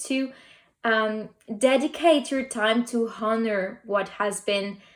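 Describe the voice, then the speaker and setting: A woman with a non-native accent at a very slow pace. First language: not English. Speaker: tarot and oracle card reader. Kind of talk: pick a card reading. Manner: halting.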